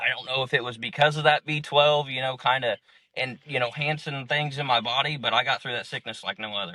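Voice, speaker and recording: A normal speaking voice from a man, medium in pitch, with fairly even intonation at a fairly quick pace. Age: 30s. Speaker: clinic patient. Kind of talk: interview answer. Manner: casual, rambling.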